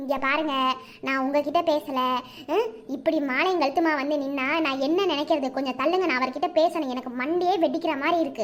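A cartoonish character voice from a woman, high-pitched, with ordinary pitch variation at a moderate pace. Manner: loud, rapid-fire questioning.

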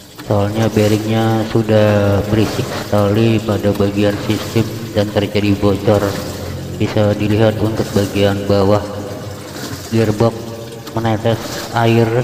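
A man's very slow, monotone, flat delivery at very even loudness, over noticeable background noise. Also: fairly low pitch for a man. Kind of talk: tutorial. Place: workshop. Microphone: phone near.

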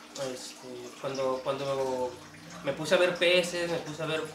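A man speaks with monotone, flat intonation over noticeable background noise. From northern Mexico (Tijuana, Baja California; born in Sonora). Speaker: aquarium hobbyist and cook. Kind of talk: casual interview. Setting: at his home. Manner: halting, with many repeated words. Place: home room. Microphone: camera far.

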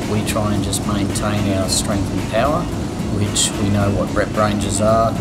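Music plays in the background while a man speaks at a fairly slow pace. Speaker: conditioning coach. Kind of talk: interview answer. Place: gym. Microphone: lapel.

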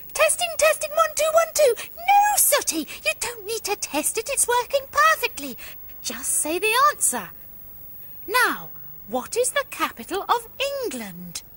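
Using a cartoonish character voice, a woman speaks at a moderate pace with an extremely high pitch and very wide pitch swings. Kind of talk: children's TV puppet comedy.

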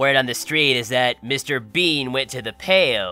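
A man's put-on character voice at a medium pitch, with faint music in the background. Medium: dub.

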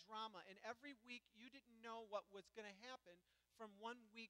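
A man speaks in a raised, projected voice with ordinary pitch variation. His tone is bright and sharp. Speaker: pastor. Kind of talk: sermon. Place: church.

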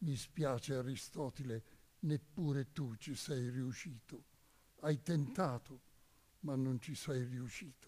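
Somewhat breathy and dark, mellow in tone, the voice moves at a very slow pace with long, frequent pauses and ordinary pitch variation. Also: man, medium pitch for a man. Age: 90s. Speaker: priest and Resistance veteran; witness. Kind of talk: testimony. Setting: stage with audience. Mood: warm, smiling, reflective. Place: stage. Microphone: podium.

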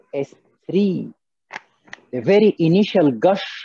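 A man with an Arabic accent uses lively intonation in a dry, close sound with no echo. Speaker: cardiologist leading an MCQ teaching session. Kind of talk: interactive lecture. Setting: video call.

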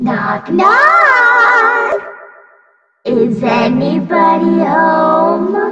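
Using a put-on character voice, a woman speaks at a very slow pace with a clear echo. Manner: energetic.

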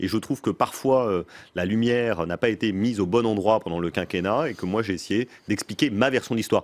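With ordinary pitch variation, a man with a fairly low pitch talks at a fairly quick pace. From France. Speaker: former presidential communications adviser and author; interview guest. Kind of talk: political interview. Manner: quick, lively. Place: studio. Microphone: studio mic.

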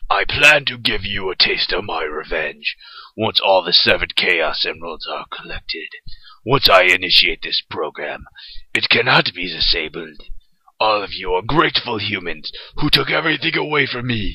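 A man performs a cartoonish character voice at a medium pitch. He keeps a moderate pace. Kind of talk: cartoon fandub audition. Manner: grave, vengeful.

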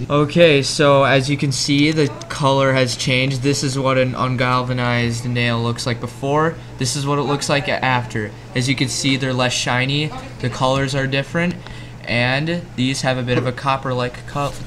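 At a moderate pace, a man speaks with monotone, flat intonation over noticeable background noise. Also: medium pitch for a man. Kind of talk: home science demonstration to camera. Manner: casual, hesitant.

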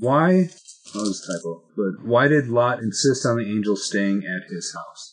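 A man talks at a fairly slow pace with lively intonation and big swings in loudness over light background noise. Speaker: Bible study co-leader. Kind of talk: Bible study discussion. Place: classroom. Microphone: webcam.

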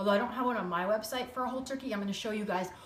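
Audible room echo and light background noise surround a woman's voice. Her pitch variation is ordinary. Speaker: cooking show host. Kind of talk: live-stream cooking chat. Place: kitchen. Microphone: phone near.

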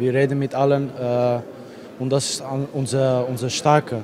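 With a Dutch accent, a man speaks at a fairly slow pace against noticeable background noise. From Netherlands. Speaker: footballer. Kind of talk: post-match interview. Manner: halting. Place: stadium. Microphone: handheld.

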